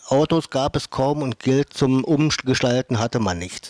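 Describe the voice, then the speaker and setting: Here a man speaks at a fairly slow pace with ordinary pitch variation. The sound is dry, with no echo. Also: quiet background. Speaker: interviewer, host of local history programme. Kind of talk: interview questions and photo commentary. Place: home room.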